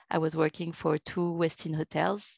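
With a strong French accent, a woman talks in a fairly low pitch, the sound dry and close with no echo over a quiet background. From France. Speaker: revenue manager. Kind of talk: interview.

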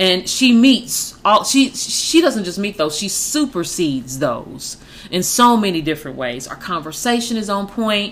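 Animated, a woman speaks at medium pitch with very wide pitch swings and hardly any pauses. Noticeable background noise sits behind her. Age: 40s. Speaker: podcast co-host. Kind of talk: casual chat.

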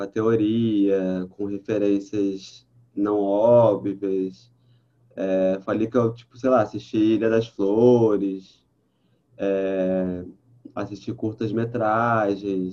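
This man's voice is fairly low, with a dark, mellow tone and monotone, flat intonation. He speaks at a very slow pace with big swings in loudness. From Brazil, Baixada Fluminense (Rio de Janeiro). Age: 30s. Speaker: journalist and audiovisual producer. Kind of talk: casual interview.

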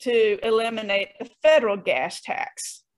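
A woman with an unremarkable speaking voice, fairly high-pitched, at a fairly slow pace. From US South, Greenville, South Carolina. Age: 50s. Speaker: political candidate and business lawyer. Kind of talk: interview.

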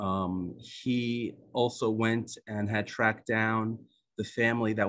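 A man with an Israeli accent speaks in a fairly low voice with fairly even intonation against a quiet background. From United States. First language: Hebrew. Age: 50s. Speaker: author and psychologist. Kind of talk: book presentation. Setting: video call.

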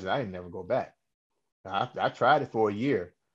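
A man's normal speaking voice, fairly low in pitch, with an American accent, a fairly quick pace and ordinary pitch variation over a quiet background. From Cleveland, Ohio. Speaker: singer and radio host. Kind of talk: interview.

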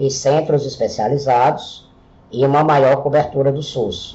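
A man with an ordinary speaking voice talks at a fairly slow pace, his pitch fairly high. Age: 40s. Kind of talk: solo podcast monologue.

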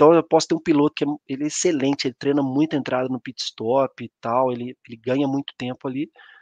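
A man races along at a very fast pace with hardly any pauses, his fairly high voice keeping a fairly even intonation. The sound is dry and close, with no echo. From Brazil, Minas Gerais (São João del Rei). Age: 30s. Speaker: mining operations engineer. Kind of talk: live-stream presentation. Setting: online live stream.

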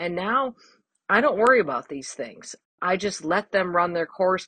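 This woman has a normal speaking voice at medium pitch. She talks at a moderate pace with ordinary pitch variation. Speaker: gardener. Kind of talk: recorded tip, casual monologue.

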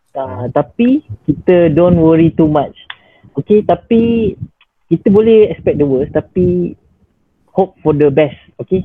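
Pitched high for a man, the speaker talks at a very slow pace with long, frequent pauses. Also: lively intonation. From Malaysia, Johor Bahru. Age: 20s. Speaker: doctor. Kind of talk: casual interview.

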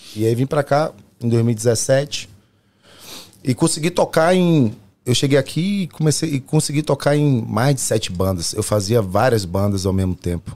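A man's medium-pitched voice, dark and mellow in tone, with lively intonation at a fairly slow pace, in a very clean recording with a silent background. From Brazil, Salvador, Bahia. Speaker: pagode singer and musician. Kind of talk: casual chat.

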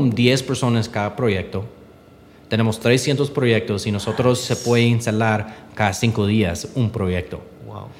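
Medium in pitch, a man's voice moves at a fairly slow pace. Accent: English. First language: English (speaking Spanish). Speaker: entrepreneur. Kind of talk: interview. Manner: halting.

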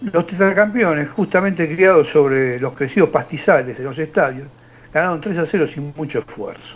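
A man talks in a plain, everyday voice, pitched fairly high. He keeps a moderate pace and ordinary pitch variation. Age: 60s. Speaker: radio show panelist. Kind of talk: joke telling and reading news.

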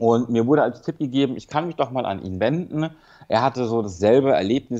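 Talking at a very fast pace, a man holds a medium pitch with ordinary pitch variation in a quiet setting. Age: 30s. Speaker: rehab patient recovering from drug addiction. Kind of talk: personal testimony in phone interview. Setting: phone call from rehab clinic. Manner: halting, many fillers.

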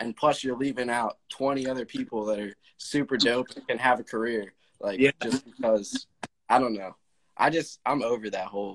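A man's unremarkable speaking voice at medium pitch, dry and close with no echo. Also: fairly even intonation, moderate pace. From Lancaster, Pennsylvania. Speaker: hip hop artist. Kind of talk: casual chat. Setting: livestream.

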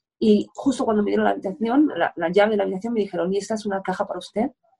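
Her voice is somewhat breathy. A woman speaks very fast, her intonation lively. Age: 50s. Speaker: sports journalist. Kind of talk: casual interview.

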